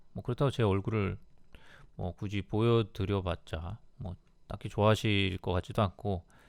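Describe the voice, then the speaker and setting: Over a very clean, silent background, a man with a fairly low pitch talks at a moderate pace with fairly even intonation and long, frequent pauses. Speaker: travel YouTuber. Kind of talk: casual monologue. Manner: halting.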